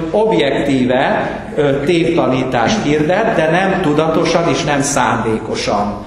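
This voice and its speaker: A man speaks at a fairly slow pace with very wide pitch swings. There is strong room echo and light background noise. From Hungary. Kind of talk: lecture. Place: hall.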